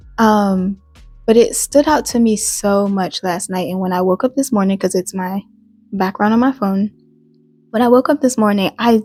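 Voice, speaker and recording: At a moderate pace and with ordinary pitch variation, the somewhat breathy voice carries a slight Southern US accent in a dry, close sound with no echo. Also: woman. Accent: slight Southern US country twang. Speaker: YouTuber. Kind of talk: casual vlog monologue. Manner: halting, many fillers and restarts.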